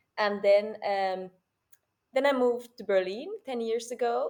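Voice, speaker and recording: A woman with a Finnish accent. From Finland. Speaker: performer and theater teacher. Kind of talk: interview. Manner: halting.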